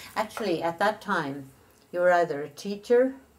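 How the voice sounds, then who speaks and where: In an Irish accent, a woman speaks at a fairly slow pace with very wide pitch swings. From Ireland. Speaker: retired nurse. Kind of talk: interview answer.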